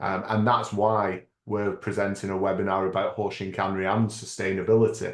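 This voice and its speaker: A man with a British accent speaks at a fairly quick pace and a fairly low pitch. His intonation is flat and monotone, against a quiet background. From United Kingdom. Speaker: lean management consultant and author. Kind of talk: webinar presentation. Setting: online webinar.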